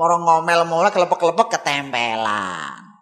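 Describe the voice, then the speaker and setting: A man's raised, projected voice with very wide pitch swings. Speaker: Islamic preacher. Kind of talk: sermon.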